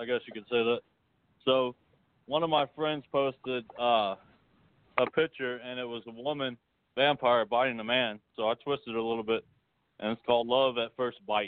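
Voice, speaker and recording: Here is a man with an ordinary speaking voice at medium pitch. His intonation is fairly even and his pace moderate. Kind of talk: reading poetry aloud. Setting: phone call.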